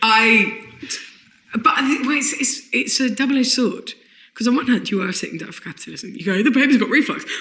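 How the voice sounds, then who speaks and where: Very fast speech in a southeast English accent, with big swings in loudness and ordinary pitch variation. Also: woman, high pitch for a woman. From southeast London, England. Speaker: comedian. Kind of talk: casual chat.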